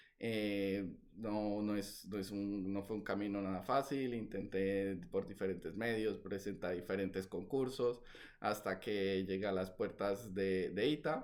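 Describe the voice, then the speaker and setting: Fairly low in pitch, a man talks at a fairly slow pace with ordinary pitch variation. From Colombia, Valledupar (Caribbean coast). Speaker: novelist. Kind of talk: interview. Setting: video call. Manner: hesitant, many fillers.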